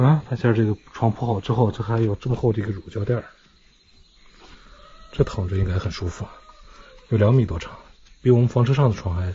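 Male speaker at a fairly quick pace with ordinary pitch variation. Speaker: travel vlogger. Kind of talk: casual vlog chat. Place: garage. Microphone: phone near.

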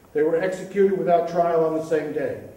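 A high-pitched man with fairly even intonation, in audible room echo. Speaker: poetry reader. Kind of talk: reading aloud a poem with commentary. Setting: stage with audience. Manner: hesitant, with fillers when introducing. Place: stage.

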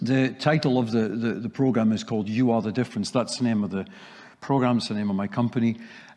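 The voice has a dark, mellow tone and a slight Scottish accent. It moves at a very fast pace with fairly even intonation. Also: man, medium pitch for a man. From Scotland. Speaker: sales training speaker; speaker. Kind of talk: presentation. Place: hall.

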